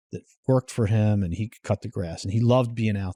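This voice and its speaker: A plain, everyday voice at a moderate pace, fairly even in intonation, with a dry, close sound and no echo. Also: man. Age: 60s. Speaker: entrepreneur. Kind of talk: casual chat.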